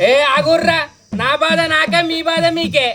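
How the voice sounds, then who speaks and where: Someone mumbles in a put-on character voice. The pace is moderate. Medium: comedy sketch. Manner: muddled, mumbling repetition.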